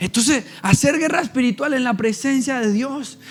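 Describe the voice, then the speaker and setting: Over noticeable background noise, a man speaks at a moderate pace with an extremely high pitch and ordinary pitch variation. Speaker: pastor. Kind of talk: sermon.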